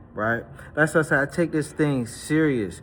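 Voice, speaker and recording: Music plays in the background as a man with an American accent talks at a moderate pace, energetic in tone and fairly high in pitch, with ordinary pitch variation. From Washington DC. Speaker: personal trainer. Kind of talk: casual workout vlog talk. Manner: casual, energetic.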